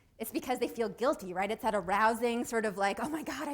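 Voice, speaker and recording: A woman talks fairly quickly in an animated tone with lively intonation. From Canada. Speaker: psychology professor. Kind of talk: lecture.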